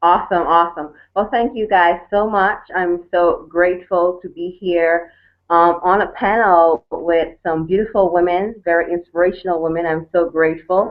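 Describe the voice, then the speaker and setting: A woman speaks with a Caribbean accent at a moderate pace. Her pitch is fairly low and her intonation fairly even. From Turks and Caicos Islands. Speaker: network marketer. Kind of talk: panel testimony.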